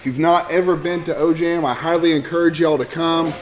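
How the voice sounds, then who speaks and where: A man with an American accent talks at a fairly quick pace over noticeable background noise. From Oklahoma. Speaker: archery club president. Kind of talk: banquet speech. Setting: banquet hall with audience. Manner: halting, many fillers and restarts.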